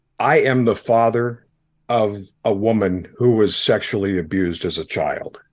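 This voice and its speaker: With a medium pitch and ordinary pitch variation, a man talks at a fairly slow pace. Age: 60s. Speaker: former pastor and podcaster. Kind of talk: casual interview chat. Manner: animated, warm, humorous.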